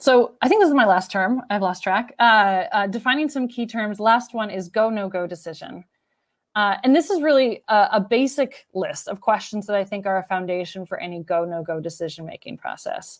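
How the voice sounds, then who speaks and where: Lively intonation marks this woman's fairly high-pitched voice. The recording is very clean, with a silent background. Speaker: architecture firm marketing and business development lead. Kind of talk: conference workshop presentation. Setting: virtual conference. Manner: fast.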